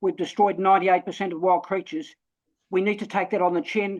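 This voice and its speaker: Someone speaks in a New Zealand accent against a quiet background. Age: 70s. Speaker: webinar participant. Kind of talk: online discussion. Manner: halting, repetitive.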